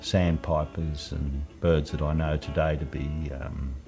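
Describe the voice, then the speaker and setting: Speaking in an Australian accent, a man with a very deep, low voice keeps his intonation fairly even over music in the background. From Lake Illawarra, New South Wales, Australia. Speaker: naturalist and environmentalist. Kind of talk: reminiscing interview answer. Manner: casual, conversational.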